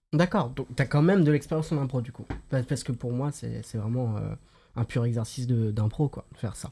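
This man talks at a fairly quick pace in a medium pitch, with a dark, mellow tone that is somewhat breathy and ordinary pitch variation. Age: 20s. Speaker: podcast host. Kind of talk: casual chat.

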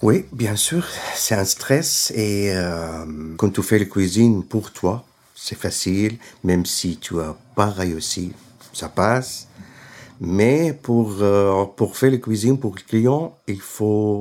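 Very slow speech with ordinary pitch variation, in a very clean recording with a silent background. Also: man, fairly low pitch for a man. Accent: Syrian. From Syria. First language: Arabic (speaking French). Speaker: caterer. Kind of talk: interview. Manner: halting.

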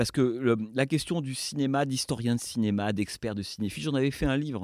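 A man speaks at a fairly quick pace with ordinary pitch variation. The sound is dry and close with no echo, on a very clean recording with a silent background. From France. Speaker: film director and former critic. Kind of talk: interview. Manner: halting.

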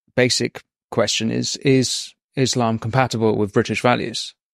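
With an English accent, a man talks at a fairly slow pace. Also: dry, close sound with no echo. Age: 30s. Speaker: podcast host. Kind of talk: interview.

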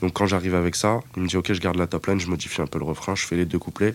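A man's very deep, low pitch, with fairly even intonation and a very fast pace. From Paris suburbs, France (Seine-Saint-Denis). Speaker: music producer. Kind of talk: interview. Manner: casual, filler-heavy.

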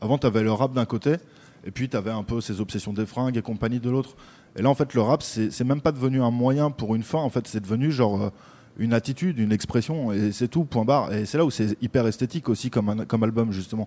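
Talking at a very fast pace, a man uses a dark, mellow, medium-pitched voice with ordinary pitch variation. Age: 30s. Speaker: rap journalist. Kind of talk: casual chat.

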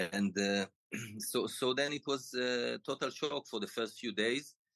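The sound is dry and close, with no echo. A man speaks with lively intonation. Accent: Israeli. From Israel. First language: Hebrew. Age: 50s. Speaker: former pro tennis player. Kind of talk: interview. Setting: remote call.

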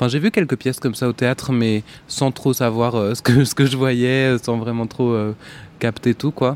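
A man speaks at a fairly slow pace in a monotone with flat intonation. The sound is dry and close with no echo. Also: medium pitch for a man. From northern France, rural Picardy. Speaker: singer-songwriter. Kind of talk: casual interview. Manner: hesitant, many fillers.

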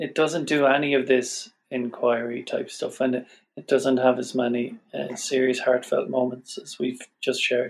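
A man with an Irish accent at a moderate pace. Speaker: podcast guest. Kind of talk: casual chat.

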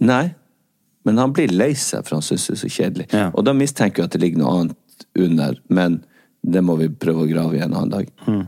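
A man speaks with a very deep, low pitch and lively intonation. His tone is dark and mellow. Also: fairly quick pace. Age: 40s. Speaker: podcast host. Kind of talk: casual chat.

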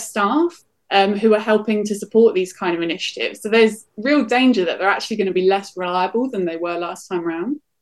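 At a fairly quick pace, a woman talks in a normal speaking voice, fairly high in pitch with ordinary pitch variation. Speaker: professor of digital politics. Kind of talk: expert interview.

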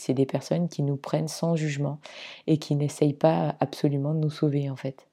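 This very clean recording with a silent background has a dark, mellow tone, a moderate pace and fairly even intonation. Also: woman. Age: 40s. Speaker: podcast host sharing personal story of anorexia. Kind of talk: personal testimony monologue. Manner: hesitant, many fillers.

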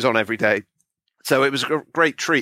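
At a very fast pace, a man speaks with a bright, sharp tone in a very clean recording with a silent background and a dry, close sound with no echo. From Bristol, West Country, England. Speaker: author and critic. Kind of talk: casual interview.

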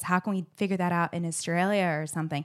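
Using an American accent, a woman with a fairly low pitch talks at a very fast pace on a very clean recording with a silent background. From Arizona, US. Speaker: event producer. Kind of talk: casual chat. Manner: animated.

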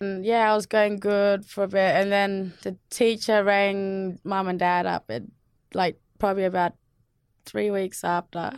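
A woman at a fairly slow pace, monotone and flat, on a very clean recording with a silent background. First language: Yolngu. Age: young. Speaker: ranger, bush doctor and mother. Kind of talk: interview, personal life story.

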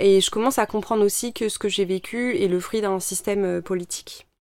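Fairly quick, fairly evenly intoned speech from a woman at a medium pitch. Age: 30s. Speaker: environmental activist and former engineer. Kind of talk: personal testimony interview. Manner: hesitant, many fillers.

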